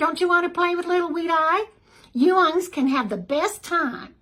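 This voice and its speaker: Putting on a squeaky character voice with an Appalachian accent, a woman speaks at an extremely high pitch and a moderate pace with ordinary pitch variation. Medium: read story. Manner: brisk, familiar.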